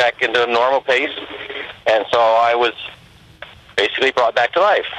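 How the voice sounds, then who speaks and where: A man speaks at a medium pitch and a moderate pace, with fairly even intonation. The sound is dry and close with no echo, though noticeable background noise is present. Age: 60s. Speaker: retired medical diagnostician. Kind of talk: testimony.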